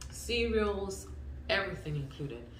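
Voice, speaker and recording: A woman speaks at a moderate pace. Her voice carries audible room echo amid noticeable background noise. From eastern DR Congo. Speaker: vlogger. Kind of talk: casual vlog talk to camera.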